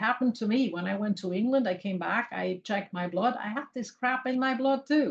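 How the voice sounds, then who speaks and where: Her voice is somewhat breathy. The woman speaks at a fairly quick pace. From Switzerland. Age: 60s. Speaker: physician and supplement seller. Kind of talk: interview conversation.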